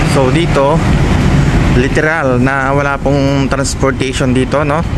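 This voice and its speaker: Loud background noise fills the recording. Through it, a man talks at a fairly slow pace. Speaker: travel vlogger. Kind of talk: casual vlog chat. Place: street. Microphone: phone near.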